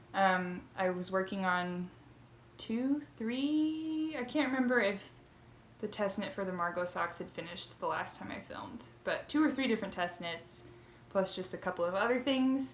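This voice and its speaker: Audible room echo around a woman's voice with very wide pitch swings. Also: medium pitch for a woman. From southern Indiana, US. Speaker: knitting podcaster. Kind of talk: casual vlog chat. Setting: home, by bedroom window. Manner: fast, rushing.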